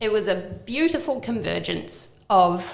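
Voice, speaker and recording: A slight New Zealand accent amid noticeable background noise and audible room echo. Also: woman. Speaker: downsizing and property renovation business owner. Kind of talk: podcast interview.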